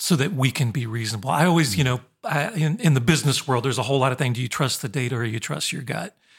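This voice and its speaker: A somewhat breathy man at medium pitch races along at a very fast pace with ordinary pitch variation and hardly any pauses. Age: 50s. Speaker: college professor and podcast co-host. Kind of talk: casual conversation.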